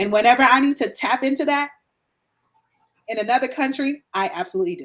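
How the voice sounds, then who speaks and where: Her pitch swinging very widely, a woman talks with an American accent. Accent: American accent, can switch to Guyanese. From Guyana. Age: 50s. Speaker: digital nomad and pet sitter. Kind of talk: interview.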